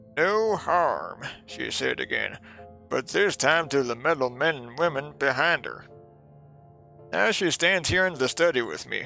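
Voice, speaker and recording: A man puts on a character voice at a fairly high pitch, talking at a fairly slow pace while music plays clearly in the background. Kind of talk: in-character reading of a game journal.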